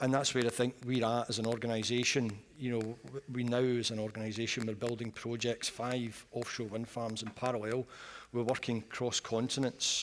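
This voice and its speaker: A Scottish accent, moderate pace and monotone, flat intonation. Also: man, medium pitch for a man. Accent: Scottish, noticeable. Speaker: energy industry executive. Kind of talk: panel discussion. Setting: conference stage, live broadcast.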